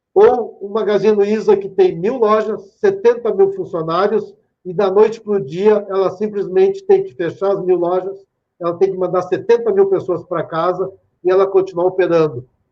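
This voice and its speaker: High in pitch yet dark and mellow in tone, a man speaks at a moderate pace. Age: 50s. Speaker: speaker at a tech conference. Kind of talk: lecture. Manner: animated.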